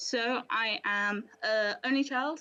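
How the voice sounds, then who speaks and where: A woman speaks with a British accent while music plays in the background. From central England. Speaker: church community member. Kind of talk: testimony.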